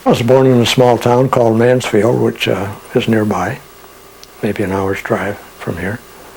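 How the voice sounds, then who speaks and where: A man speaks with an American accent at a moderate pace and fairly even intonation. Noticeable background noise is present. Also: medium pitch for a man. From Pennsylvania, near Elmira NY. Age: 80s+. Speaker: artist and widower of a psychic author. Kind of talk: interview, personal memories. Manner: halting, frequent fillers.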